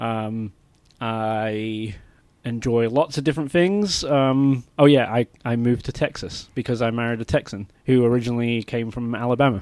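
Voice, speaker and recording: Ordinary pitch variation with an English accent. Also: man, medium pitch for a man, moderate pace. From England. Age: 30s. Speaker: podcast co-host. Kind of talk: casual chat. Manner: halting, many fillers.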